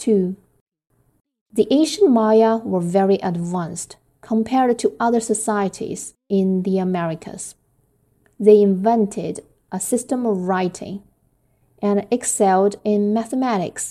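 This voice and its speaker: A woman with a Chinese accent, medium-pitched with a dark, mellow tone, at a fairly slow pace with ordinary pitch variation and long, frequent pauses. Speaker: English learner and homeschooling parent. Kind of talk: reading aloud; casual intro. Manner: careful pronunciation.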